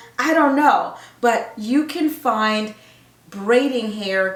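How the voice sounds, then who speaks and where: A woman speaks at a fairly high pitch with lively intonation and a very slow pace. Noticeable background noise and audible room echo are present. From Zimbabwe. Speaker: nurse and women's health coach. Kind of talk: casual vlog talk to camera. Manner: animated, chatty.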